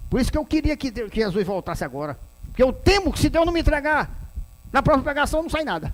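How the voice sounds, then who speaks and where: This man speaks at an extremely high pitch. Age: 60s. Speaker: pastor. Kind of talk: sermon.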